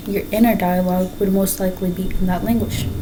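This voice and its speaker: A woman with a Spanish accent, medium-pitched, at a fairly quick pace and a fairly even intonation, with audible room echo and noticeable background noise. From Mexico. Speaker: student. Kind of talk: class speech. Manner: halting.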